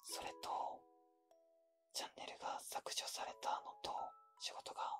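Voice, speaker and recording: A man whispers at a fairly slow pace, with music in the background. The sound is dry and close, with no echo. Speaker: ASMR creator / channel host. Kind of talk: casual talk to camera, channel update. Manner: apologetic, sincere.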